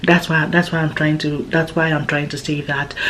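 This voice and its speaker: A woman speaks with a fairly low voice. Noticeable background noise surrounds her. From Nigeria. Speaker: vlogger. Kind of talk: casual chat.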